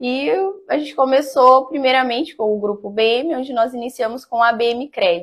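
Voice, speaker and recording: A woman talks at a moderate pace with ordinary pitch variation. She has an unremarkable speaking voice, and the background is quiet. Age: 30s. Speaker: business owner; interview guest. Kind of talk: interview. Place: studio. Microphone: lapel.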